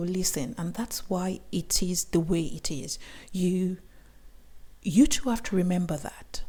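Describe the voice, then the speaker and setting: A woman's somewhat breathy voice at a medium pitch has a dark, mellow tone and lively intonation. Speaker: YouTuber. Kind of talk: vlog talk to camera. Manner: not fast.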